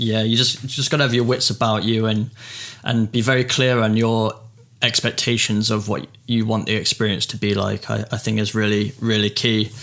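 His voice sits at a medium pitch. The man's intonation stays monotone and flat. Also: moderate pace. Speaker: podcast host. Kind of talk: casual interview chat.

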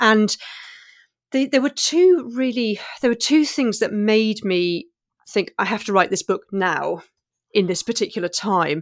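A woman with a British accent speaks fairly slowly in a fairly high pitch with lively intonation, leaving long, frequent pauses, on a very clean recording with a silent background. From England, Maltese family. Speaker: novelist. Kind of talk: interview.

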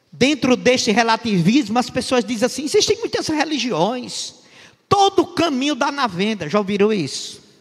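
An extremely high male voice at a moderate pace, with very wide pitch swings. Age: 60s. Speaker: pastor. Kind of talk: sermon.

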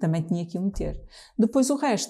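Dark and mellow in tone, the voice carries some breathiness. Its speed is moderate. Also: woman. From Trás-os-Montes, Portugal (Bragança). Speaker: jazz singer. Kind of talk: casual chat. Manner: halting.

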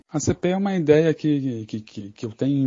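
His pitch moves up and down in a normal way. The man keeps a middling pace. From southern Brazil, Bagé on the Uruguay border. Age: 40s. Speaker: writer and editor. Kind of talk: interview. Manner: halting, many fillers.

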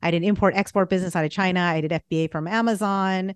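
A woman with an American accent and a plain, everyday voice speaks at a fairly quick pace and fairly low pitch with ordinary pitch variation over a quiet background. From Boston area, US. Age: 40s. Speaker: business strategist and astrologer. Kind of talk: casual interview.

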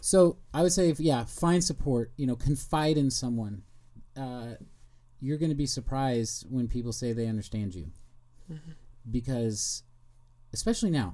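A man with an American accent speaks at a moderate pace, with medium pitch, a dark, mellow tone, and lively intonation. He leaves long, frequent pauses. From Kansas City, Missouri. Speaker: podcaster and YouTuber. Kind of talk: interview about mental health.

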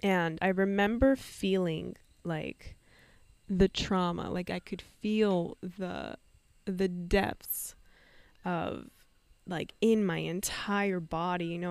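An unremarkable speaking voice with a Canadian accent and fairly even intonation, on a very clean recording with a silent background. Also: woman. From Canada, Vancouver. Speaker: podcast host, spiritual coach. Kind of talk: personal storytelling monologue.

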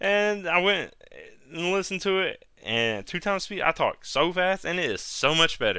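A man with a high pitch and a bright, sharp tone projects a raised voice at a moderate pace with ordinary pitch variation. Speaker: solo anime podcast host. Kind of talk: casual solo review monologue. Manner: halting, many hesitations.

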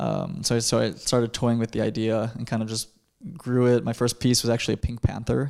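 Medium-pitched man at a fairly quick pace with ordinary pitch variation, in a very clean recording with a silent background. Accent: Chicago. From US Midwest, Chicago suburbs. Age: 20s. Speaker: conceptual artist. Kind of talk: interview.

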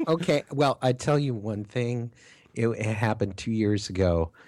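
A man with an American accent at a fairly slow pace, ordinary pitch variation, on a very clean recording with a silent background. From Minnesota. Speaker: podcast co-host. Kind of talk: casual chat.

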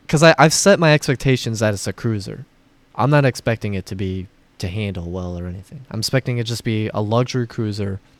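This man has an American accent and a fairly low pitch. He talks at a very fast pace with big swings in loudness. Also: ordinary pitch variation, very clean recording, silent background. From Florida. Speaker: car podcast co-host. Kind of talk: casual chat.

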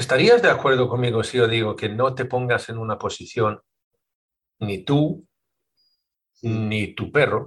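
Speaking at a fairly slow pace, a man with a medium pitch and a somewhat breathy voice keeps his intonation fairly even and leaves long, frequent pauses. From Sweden. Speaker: podcast host and dog trainer. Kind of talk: interview conversation.

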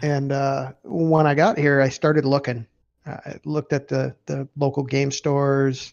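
Flat, monotone delivery from a man with an Upper Midwest accent, fairly high in pitch, at a moderate pace. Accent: Upper Midwest American. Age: 50s. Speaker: retired navy veteran and gamer. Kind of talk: casual chat.

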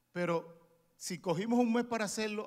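The speaker is a man. He has a Dominican accent. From Dominican Republic. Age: 40s. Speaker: preacher. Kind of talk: sermon. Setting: church.

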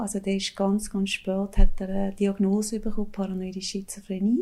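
On a very clean recording with a silent background, a woman speaks in a dark, mellow tone. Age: 50s. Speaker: former drug addict with schizophrenia. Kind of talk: personal testimony interview.

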